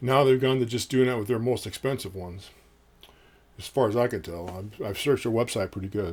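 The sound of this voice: A man speaks at a fairly quick pace at medium pitch, with a slightly husky edge and ordinary pitch variation.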